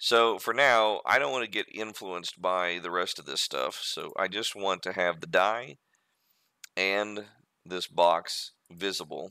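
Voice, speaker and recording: With an American accent, a man speaks at a fairly slow pace in a fairly low pitch. His tone is bright and sharp, with ordinary pitch variation. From USA. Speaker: 3D modeling streamer. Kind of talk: tutorial. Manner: casual, halting with fillers.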